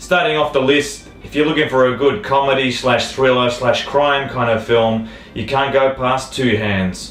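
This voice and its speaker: Over noticeable background noise, a man with an Australian accent talks at medium pitch and a moderate pace, with ordinary pitch variation and hardly any pauses. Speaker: film reviewer. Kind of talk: casual talk to camera.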